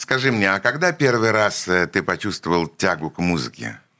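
The voice has a bright, sharp tone with vocal fry, very wide pitch swings and a moderate pace. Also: man. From Leningrad, city centre. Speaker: radio host. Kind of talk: interview. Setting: radio studio.

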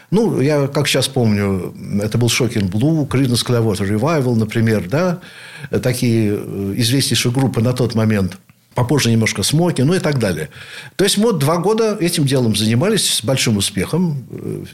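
A normal speaking voice carries lively intonation at a very even loudness. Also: man. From Leningrad / St Petersburg, Russia. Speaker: rock keyboardist, composer and professor. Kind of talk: radio interview, reminiscing.

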